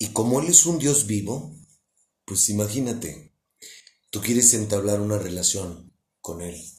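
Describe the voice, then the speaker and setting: Somewhat breathy with a dark, mellow tone, a man speaks at a fairly low pitch and a fairly slow pace, with long, frequent pauses, big swings in loudness and audible room echo. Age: 40s. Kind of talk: religious talk. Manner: casual.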